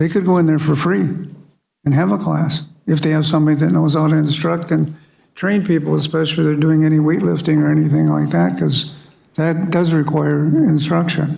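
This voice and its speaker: A man talks at a fairly quick pace in a fairly high, dark and mellow voice, with ordinary pitch variation. His loudness stays very even, and room echo is audible. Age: 70s. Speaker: city council member. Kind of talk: council meeting debate. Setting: city council chambers. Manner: blunt, plain-spoken; halting with fillers.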